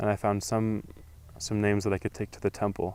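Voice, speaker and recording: Here is a man speaking with an American accent. His pitch sits fairly low. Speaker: returned missionary. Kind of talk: interview.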